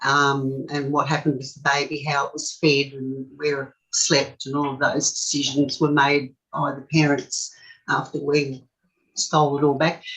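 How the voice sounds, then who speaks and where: This woman has an Australian accent and a very deep, low voice, speaking at a moderate pace with monotone, flat intonation. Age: 60s. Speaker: forced adoption survivor. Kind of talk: interview. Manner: halting.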